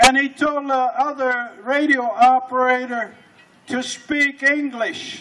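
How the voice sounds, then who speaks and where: With noticeable background noise, a man with an extremely high pitch uses a raised, projected voice, speaking in a flat monotone at a very slow pace. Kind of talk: talk at a pow wow.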